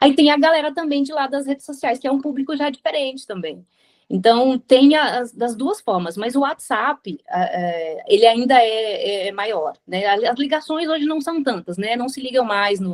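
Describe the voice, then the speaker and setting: With very wide pitch swings and hardly any pauses, a woman with a high pitch speaks at a fairly slow pace. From Brazil. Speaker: radio presenter. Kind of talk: interview answer.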